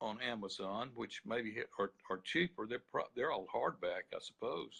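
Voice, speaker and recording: Speaking with an Alabama accent, a man takes a fairly slow pace. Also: dry, close sound with no echo. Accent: Alabama Southern US. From US South, Birmingham, Alabama. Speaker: attorney and author. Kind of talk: interview. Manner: halting.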